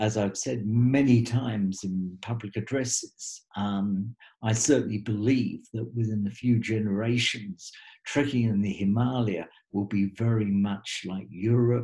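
A somewhat breathy voice with a dark, mellow tone speaks at a fairly slow pace and with fairly even intonation against a quiet background. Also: man, medium pitch for a man. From Australia. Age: 70s. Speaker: trekking guide and author. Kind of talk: webinar talk. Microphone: webcam.

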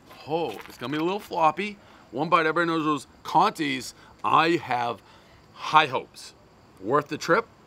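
Speaking at a moderate pace with ordinary pitch variation, a man shows big swings in loudness on a dry recording with no echo. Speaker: food reviewer. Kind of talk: casual review commentary. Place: street.

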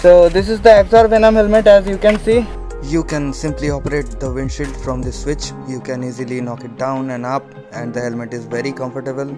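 A man at a fairly quick pace with clear music in the background. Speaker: motorcycle vlogger. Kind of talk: product review. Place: forest.

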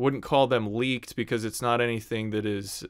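A man's fairly low pitch and fairly even intonation, against a quiet background. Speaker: online news host. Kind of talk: commentary. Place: home room. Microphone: studio mic.

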